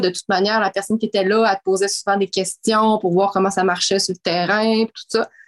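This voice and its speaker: The sound is dry and close with no echo as a woman speaks at a fairly quick pace in a medium pitch. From Quebec City, Quebec. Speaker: mining community relations director. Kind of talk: interview. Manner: halting.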